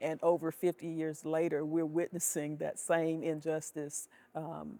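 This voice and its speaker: A woman with a very deep, low pitch, a dark, mellow tone and monotone, flat intonation, in a dry, close sound with no echo. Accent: Alabama. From US South, Selma, Alabama. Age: 60s. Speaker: retired educator, advocate. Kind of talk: interview testimony. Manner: halting, with fillers.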